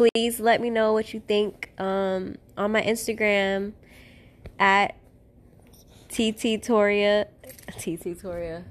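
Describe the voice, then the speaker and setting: With an American accent, a woman speaks at a medium pitch and a very slow pace. Her intonation is fairly even, and long, frequent pauses break up her speech. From Fort Pierce, Florida. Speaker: podcast host. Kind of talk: casual chat.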